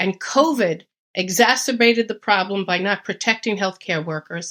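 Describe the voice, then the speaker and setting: Over a very clean recording with a silent background, a woman with a New York accent speaks at a medium pitch and a moderate pace with ordinary pitch variation. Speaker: retired nurse, home gardener. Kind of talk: podcast interview. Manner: emphatic.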